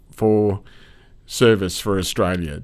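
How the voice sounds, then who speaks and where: At a fairly slow pace, a man with a normal speaking voice and fairly low pitch talks with fairly even intonation in a very clean recording with a silent background. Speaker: podcast host. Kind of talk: interview question.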